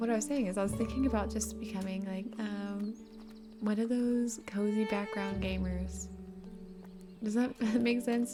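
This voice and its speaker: A soft-spoken woman at a fairly slow pace, music in the background. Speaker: gaming content creator. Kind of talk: casual chat.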